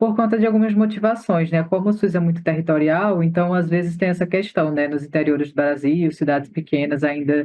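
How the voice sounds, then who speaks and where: A man with a fairly high pitch. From Northeast Brazil. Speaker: doula and activist. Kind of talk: interview.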